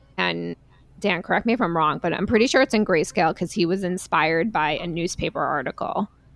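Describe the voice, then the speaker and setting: With a New York accent, a woman talks at a very fast pace with a fairly low pitch and vocal fry. Her pitch varies in an ordinary way, and the sound is dry and close with no echo. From New York, Long Island. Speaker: podcast host. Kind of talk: casual chat. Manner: animated.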